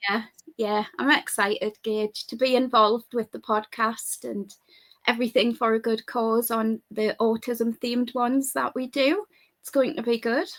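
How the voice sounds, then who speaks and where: At a moderate pace, a woman with a fairly high pitch and fairly even intonation speaks with big swings in loudness, the sound dry and close with no echo. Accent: English. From United Kingdom. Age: 40s. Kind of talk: interview.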